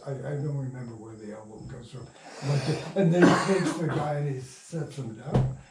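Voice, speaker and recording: A man talks at a moderate pace and medium pitch with ordinary pitch variation. There's audible room echo and noticeable background noise. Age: 80s+. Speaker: radio playwright and producer. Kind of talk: casual interview. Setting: at home. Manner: halting.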